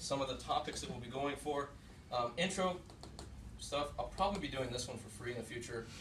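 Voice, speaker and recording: Lively intonation and a fairly quick pace come through audible room echo and noticeable background noise. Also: man, medium pitch for a man. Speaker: game designer; workshop instructor. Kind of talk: lecture. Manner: fast.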